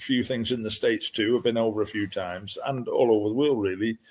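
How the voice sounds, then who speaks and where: A man with a northern English accent at a medium pitch, talking at a fairly quick pace with ordinary pitch variation, on a very clean recording with a silent background. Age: 70s. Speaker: dog breeder. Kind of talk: interview.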